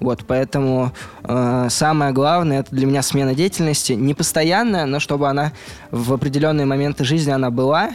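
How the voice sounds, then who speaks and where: Here a man has a plain, everyday voice, fairly high in pitch, with ordinary pitch variation, a moderate pace and very even loudness. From Russia, Mari El (Volzhsk). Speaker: youth movement organizer. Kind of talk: interview.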